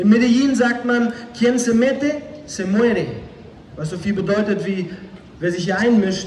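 Moderate pace from a man, with audible room echo and light background noise. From northern Germany, Flensburg. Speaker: former drug dealer, evangelist. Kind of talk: testimony. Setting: outdoors, street evangelism. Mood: earnest, serious. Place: stage.

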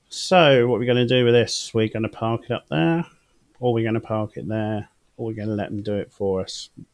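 Fairly quick speech comes from a man with a British accent. The background is quiet. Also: ordinary pitch variation. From United Kingdom. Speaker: gaming streamer. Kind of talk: live gameplay commentary. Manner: casual and chatty.

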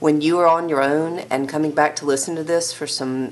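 Through light background noise, a woman speaks at a very deep, low pitch with ordinary pitch variation. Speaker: teacher. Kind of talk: lecture. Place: home room.

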